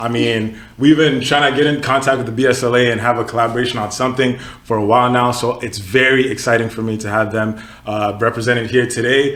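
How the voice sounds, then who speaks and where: Noticeable background noise and audible room echo surround a man talking at a very fast pace. His medium-pitched voice has an animated tone. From Texas (Katy), born in Nigeria. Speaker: podcast host, student association member. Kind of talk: casual podcast chat. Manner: casual, animated.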